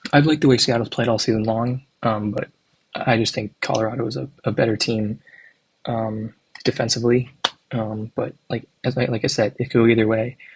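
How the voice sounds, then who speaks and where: A soft-spoken man's somewhat breathy voice at a medium pitch, with fairly even intonation and a fairly quick pace. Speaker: hockey YouTuber. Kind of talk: casual predictions commentary. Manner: hesitant, filler-heavy.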